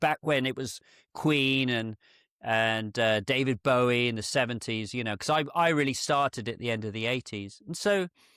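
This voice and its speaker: In a dry, close sound with no echo, a man talks at a medium pitch with ordinary pitch variation. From UK, rural area. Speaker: portrait photographer. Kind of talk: in-depth interview.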